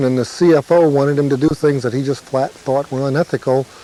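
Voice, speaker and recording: A man's fairly high voice moves at a fairly quick pace, his intonation fairly even, over noticeable background noise. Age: 40s. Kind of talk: testimony.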